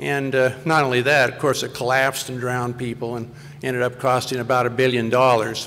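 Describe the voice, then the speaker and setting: Over noticeable background noise, a man talks fairly quickly at a medium pitch with monotone, flat intonation. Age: 60s. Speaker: conservation advocate. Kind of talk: panel talk.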